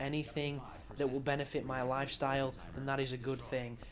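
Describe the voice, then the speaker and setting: A man speaks with an English accent at a very fast pace. His pitch is fairly high. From England. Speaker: video game commentator. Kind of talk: game walkthrough commentary. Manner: casual.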